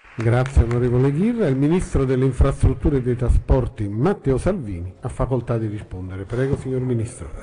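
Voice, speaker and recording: A man's medium-pitched voice at a fairly quick pace, with lively intonation, hardly any pauses and light background noise. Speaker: chamber president chairing the session. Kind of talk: formal procedural announcements. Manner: formal, neutral. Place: hall.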